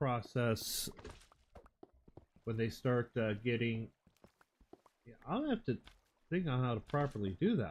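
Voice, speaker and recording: Mumbling, a man speaks with long, frequent pauses. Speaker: Minecraft streamer. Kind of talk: live gameplay stream. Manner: mumbling to himself; halting, thinking aloud.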